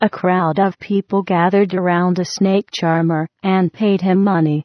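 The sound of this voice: An unforced reading voice with fairly even intonation comes through against a quiet background.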